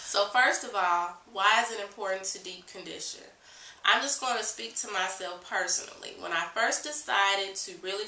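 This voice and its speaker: A woman speaks over noticeable background noise. Her voice carries an audible room echo. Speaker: natural hair care vlogger. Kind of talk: tutorial. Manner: casual, with fillers.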